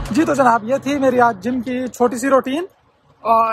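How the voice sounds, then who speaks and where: A man is speaking. The sound is dry, with no echo. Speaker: vlogger. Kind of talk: casual vlog chat. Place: street. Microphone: phone near.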